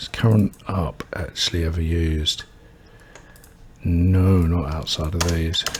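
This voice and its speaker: Mumbling and soft-spoken, a man talks fairly slowly in a very deep, low pitch with fairly even intonation and long, frequent pauses over noticeable background noise. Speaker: game developer streamer. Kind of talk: coding tutorial livestream. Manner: soft-spoken, mumbling; quiet.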